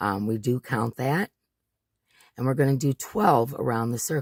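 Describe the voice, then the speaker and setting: The man's medium-pitched voice has lively intonation. His sound is dry and close, with no echo. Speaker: crochet tutorial maker. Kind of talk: tutorial. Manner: slow, deliberately paced; casual, hesitant with fillers.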